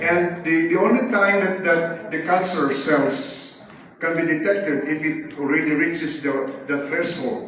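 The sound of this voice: Strong room echo surrounds a man speaking at a fairly high pitch with a fairly bright tone. He goes at a fairly slow pace with few pauses and fairly even intonation.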